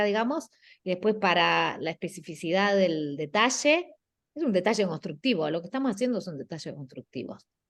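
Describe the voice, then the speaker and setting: Against a quiet background, a woman with a medium pitch speaks with lively intonation. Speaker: guest architecture lecturer. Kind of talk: class critique of student work. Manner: slow; halting.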